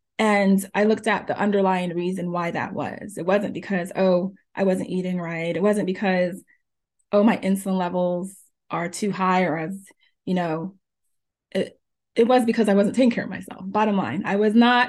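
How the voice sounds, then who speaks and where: Her pitch at medium height and her intonation fairly even, a woman talks at a moderate pace in a normal speaking voice. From New Jersey (born in Jamaica). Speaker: pharmacist and health coach. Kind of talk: interview.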